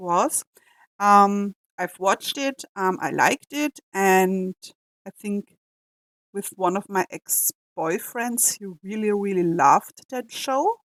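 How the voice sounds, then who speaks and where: A woman with an Austrian accent speaks at a fairly slow pace in a medium pitch, the sound dry and close with no echo. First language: German. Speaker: reaction youtuber. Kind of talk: casual reaction commentary. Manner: halting, frequent fillers.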